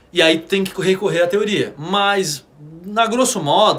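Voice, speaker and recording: A man speaks in a high voice. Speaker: drum teacher. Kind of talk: live stream lesson. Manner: fast; casual, slangy.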